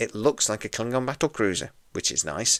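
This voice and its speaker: A man talks quietly with a British accent at a moderate pace. The sound is dry and close, with no echo. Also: very clean recording, silent background. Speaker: podcast host. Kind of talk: TV episode review.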